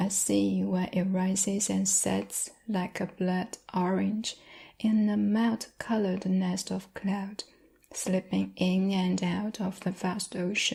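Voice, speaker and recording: In a Chinese accent, the voice moves at a very slow pace with very even loudness, a somewhat breathy, dark, mellow tone and monotone, flat intonation. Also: woman, medium pitch for a woman. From China. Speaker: ASMR creator. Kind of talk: love letter reading.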